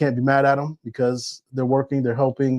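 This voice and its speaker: A man with an American accent and medium pitch, at a fairly quick pace, in a dry, close sound with no echo and a quiet background. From upstate New York. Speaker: real estate agent. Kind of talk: livestream market update. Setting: livestream. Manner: casual, conversational.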